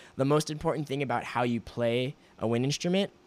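A man's voice at a medium pitch. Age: 20s. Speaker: podcast host. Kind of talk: casual chat. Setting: remote call.

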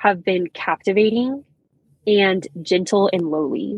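A woman of medium pitch with an American accent and ordinary pitch variation. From Texas Panhandle (Canadian, Texas). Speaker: campus ministry worker. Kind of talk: casual chat.

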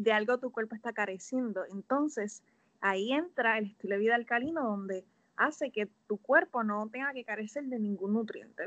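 Pitch varies in an ordinary way at a moderate pace. It is a normal speaking voice. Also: woman, fairly high pitch for a woman. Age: 20s. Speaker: health coach. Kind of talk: casual interview.

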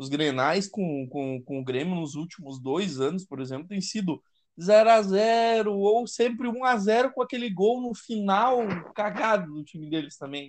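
His delivery comes at a fairly slow pace. The man's intonation stays lively throughout. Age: 20s. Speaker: football fan. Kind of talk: casual chat.

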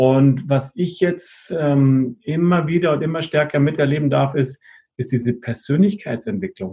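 A man's fairly high, somewhat breathy voice with a dark, mellow tone at a fairly slow pace. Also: ordinary pitch variation. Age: 50s. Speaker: network marketing partner. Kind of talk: casual interview.

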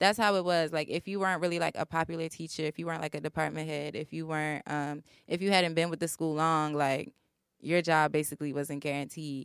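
A woman with an American accent talks very fast in a very deep, low pitch. The recording is very clean with a silent background, and the sound is dry and close with no echo. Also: fairly even intonation. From Baltimore, Maryland. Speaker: university student. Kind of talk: casual chat.

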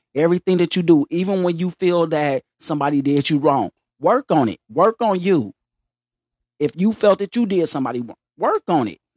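In a very clean recording with a silent background and a dry, close sound with no echo, a man speaks at a moderate pace with a high pitch and lively intonation. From US South, Mississippi. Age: 50s. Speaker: podcast guest. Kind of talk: casual chat.

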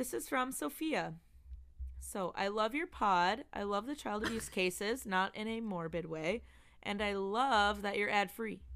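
A woman with an ordinary speaking voice, fairly slow pace and lively intonation, on a very clean recording with a silent background. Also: medium pitch for a woman. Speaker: podcast host. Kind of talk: casual chat, reading listener emails.

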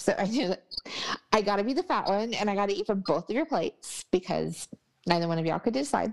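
The delivery is very fast and animated, with lively intonation, vocal fry, and an American accent. The sound is dry and close, with no echo. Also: woman. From Texas. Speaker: travel podcast host. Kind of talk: casual chat review.

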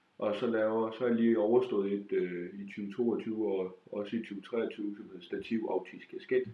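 A man at a fairly slow pace, with big swings in loudness over noticeable background noise. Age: 20s. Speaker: stand-up comedian. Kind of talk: casual interview. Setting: at home.

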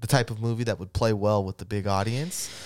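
The recording is very clean, with a silent background. It carries an unremarkable speaking voice at a fairly quick pace. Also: man. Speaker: podcast host. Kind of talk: casual chat. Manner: casual, profanity.

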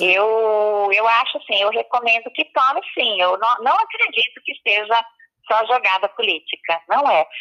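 In a dry, close recording with no echo, a woman with a fairly high pitch and a bright, sharp tone talks at a fairly slow pace with ordinary pitch variation. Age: 50s. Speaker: public health expert. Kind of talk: interview. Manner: hesitant, many fillers.

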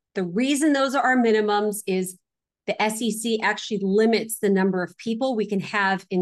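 Against a quiet background, a woman talks in an ordinary speaking voice. Her pitch is medium, with ordinary pitch variation. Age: 40s. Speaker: real estate investor. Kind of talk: interview.

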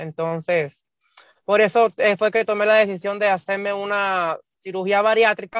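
A woman at medium pitch, fairly slow and fairly even in intonation, in a dry, close sound with no echo. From Cuba. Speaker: bariatric surgery patient. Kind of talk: interview. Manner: halting.

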